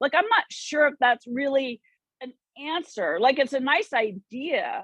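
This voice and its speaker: Lively intonation from a woman at a moderate pace. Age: 60s. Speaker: church discussion group participant. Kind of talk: group discussion. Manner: halting.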